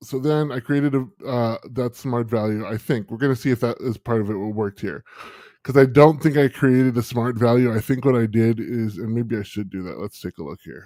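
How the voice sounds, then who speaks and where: A man talks at a fairly quick pace in a dark, mellow tone, his loudness swinging by large amounts. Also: medium pitch for a man, ordinary pitch variation. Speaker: software tutorial livestream host. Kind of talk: live tutorial. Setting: livestream. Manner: hesitant, filler-heavy.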